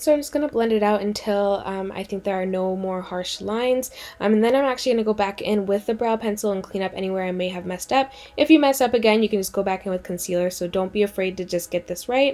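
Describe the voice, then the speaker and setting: A woman at a medium pitch with ordinary pitch variation and a very fast pace, over noticeable background noise. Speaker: beauty vlogger. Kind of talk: makeup tutorial. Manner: casual, filler-heavy.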